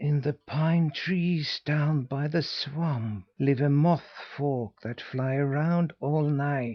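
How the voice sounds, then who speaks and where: Hissing runs under a man's put-on character voice at a fairly high pitch. He talks at a very slow pace. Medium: read story.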